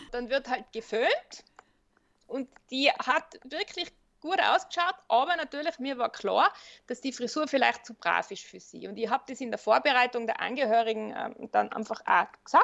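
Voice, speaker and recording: A woman with a high pitch speaks at a moderate pace. Her intonation is lively, and her loudness rises and falls in big swings. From Austria, Tyrol. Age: 50s. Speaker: funeral director and psychologist. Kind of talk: interview.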